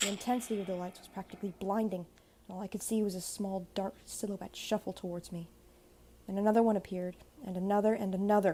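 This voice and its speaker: Monotone and flat in intonation, a woman with a dark, mellow tone and medium pitch talks at a very fast pace. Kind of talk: horror story narration.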